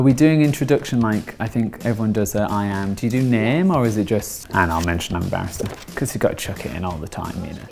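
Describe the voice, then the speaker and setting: A man talks at a very fast pace with hardly any pauses, his pitch fairly low and his intonation lively. Music plays in the background. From northern England, West Yorkshire near Bradford. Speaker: law lecturer and barrister. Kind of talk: interview monologue; casual chat.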